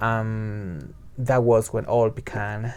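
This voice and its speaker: A man with a Spanish accent. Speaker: book reviewer. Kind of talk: book review monologue. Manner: halting, with fillers and repetitions.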